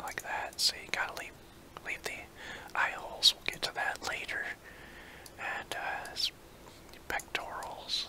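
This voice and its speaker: Someone whispers at a fairly slow pace, leaving long, frequent pauses, with noticeable background noise behind. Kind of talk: ASMR drawing tutorial. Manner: whispered.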